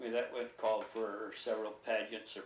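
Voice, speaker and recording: A man talks fairly slowly, and audible room echo can be heard around him. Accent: Midwestern American. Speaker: oral history interviewee. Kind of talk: oral history interview.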